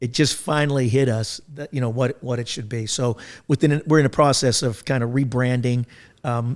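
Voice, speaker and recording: A man with an unremarkable speaking voice, medium pitch, ordinary pitch variation and moderate pace, on a very clean recording with a silent background. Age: 60s. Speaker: podcast host and business consultant. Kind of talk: casual chat.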